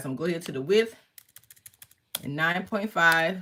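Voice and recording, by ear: Fast and bright with a sharp tone, a woman speaks at a fairly low pitch.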